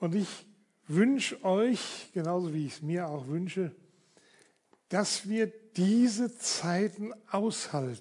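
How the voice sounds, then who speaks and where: A man speaks at a high pitch with lively intonation. His pace is very slow, broken by long, frequent pauses. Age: 70s. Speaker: pastor. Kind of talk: sermon. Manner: casual.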